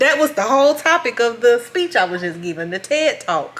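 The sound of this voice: A woman speaks with a fairly high pitch, big swings in her pitch, and a fairly bright tone. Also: moderate pace.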